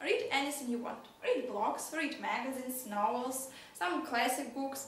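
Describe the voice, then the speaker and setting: A woman's high-pitched voice amid audible room echo and noticeable background noise. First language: Russian or Ukrainian. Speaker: English teacher. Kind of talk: lesson. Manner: hesitant, with fillers.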